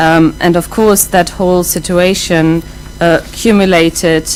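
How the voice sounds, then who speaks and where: With a German accent, a woman speaks at a fairly slow pace and a fairly low pitch over noticeable background noise. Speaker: professor. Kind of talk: lecture. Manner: many fillers and restarts.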